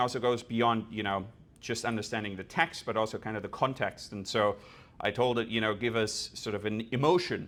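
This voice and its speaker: This man talks at a fairly quick pace with a German accent and a medium pitch. The recording is very clean, with a silent background. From Germany. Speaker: developer experience engineer. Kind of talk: conference talk with live demo.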